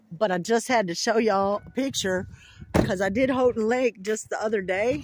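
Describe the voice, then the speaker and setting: A dry, echo-free sound with light background noise and a fairly slow pace. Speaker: vlogger. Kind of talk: casual vlog chat. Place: waterside. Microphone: phone near.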